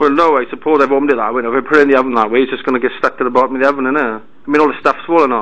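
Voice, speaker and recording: Speaking in a Welsh accent, a man at medium pitch talks very fast with fairly even intonation and hardly any pauses. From Wales, Merthyr Tydfil; Wales. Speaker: caller. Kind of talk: complaint phone call. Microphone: poor audio quality; phone line.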